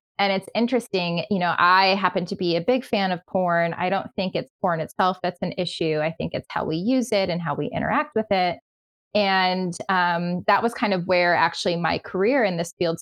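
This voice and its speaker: With an American accent and a plain, everyday voice, a woman speaks at a moderate pace and medium pitch, with ordinary pitch variation and a dry, close sound with no echo. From New York. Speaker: sexologist. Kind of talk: podcast interview.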